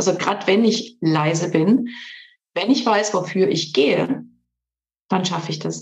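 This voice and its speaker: Fairly slow speech with vocal fry and ordinary pitch variation is broken by long, frequent pauses. Audible room echo fills the recording. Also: woman, medium pitch for a woman. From Switzerland. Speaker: coach and trainer. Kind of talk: interview.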